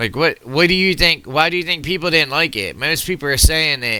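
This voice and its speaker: A man's animated, bright, sharp voice with vocal fry and an American accent, on a very clean recording over a silent background. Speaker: political commentator reacting to videos. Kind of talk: reaction video commentary. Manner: loud, projecting to reach the mic.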